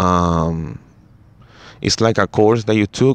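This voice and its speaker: Here a man speaks with a Spanish accent. His pitch is very deep and low, with ordinary pitch variation. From Chile. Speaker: basketball podcaster. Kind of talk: casual solo podcast talk. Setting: first podcast in English, solo recording. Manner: halting, many fillers and restarts.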